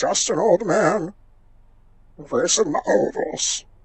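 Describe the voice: Using a put-on character voice, a man speaks high for a man at a fairly slow pace.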